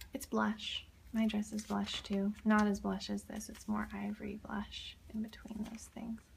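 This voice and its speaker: Soft-spoken, a woman talks with an American accent. Her pace is fairly slow. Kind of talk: ASMR page flipping, casual talk to camera.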